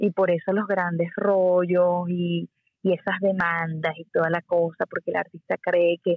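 A woman with a Venezuelan accent, a fairly low pitch and monotone, flat intonation. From Venezuela, Puerto La Cruz. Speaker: singer-songwriter. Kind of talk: interview.

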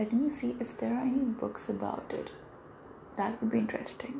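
A woman speaks amid noticeable background noise and audible room echo. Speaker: solo podcaster. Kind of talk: casual monologue. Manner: rambling, reflective.

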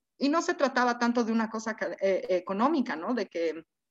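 A woman with lively intonation and a fairly high pitch, against a quiet background. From Bolivia. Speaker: institute co-founder, sociologist. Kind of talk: interview.

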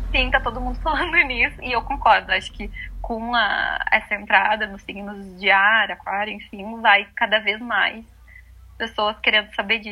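With an unremarkable speaking voice, a woman talks at a moderate pace and a fairly high pitch, using ordinary pitch variation and big swings in loudness. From southern Brazil (Rio Grande do Sul). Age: 20s. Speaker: astrologer. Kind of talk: casual chat.

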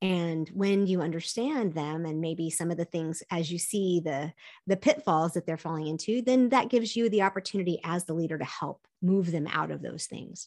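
A woman's fairly low-pitched, unremarkable speaking voice at a moderate pace, with hardly any pauses and a quiet background. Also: ordinary pitch variation. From US South, partly raised in Korea. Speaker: optimism coach. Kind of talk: interview conversation.

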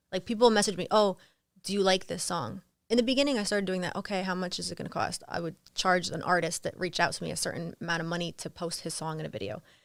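Speaking very fast with vocal fry, a woman talks in an American accent. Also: medium pitch for a woman, ordinary pitch variation. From New Jersey. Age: 30s. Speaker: Instagram model and art dealer. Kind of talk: casual interview. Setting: studio.

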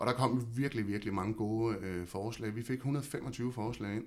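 Here a man uses an ordinary speaking voice at a medium pitch, with ordinary pitch variation. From Denmark, Havnsø (West Zealand). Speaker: local council chairman. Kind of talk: casual interview.

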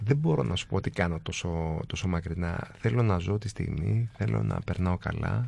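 A man with a very deep, low pitch and a dark, mellow tone speaks at a fairly slow pace, his pitch swinging very widely. He hardly pauses, and the recording is very clean with a silent background. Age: 40s. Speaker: design entrepreneur. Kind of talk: casual interview.

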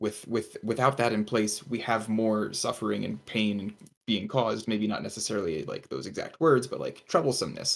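A man with a fairly low pitch and vocal fry talks at a moderate pace with hardly any pauses and ordinary pitch variation. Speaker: tutor. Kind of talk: casual chat.

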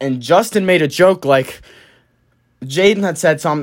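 A man's animated, fairly quick speech with lively intonation, on a very clean recording with a silent background. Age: 20s. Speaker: solo vlogger / podcaster. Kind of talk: casual monologue. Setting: solo recording to camera.

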